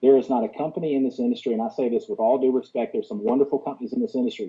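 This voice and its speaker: A man speaks in a Southern US accent. His intonation is lively. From US South. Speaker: business opportunity presenter. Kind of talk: sales pitch. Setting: conference call. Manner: fast; animated.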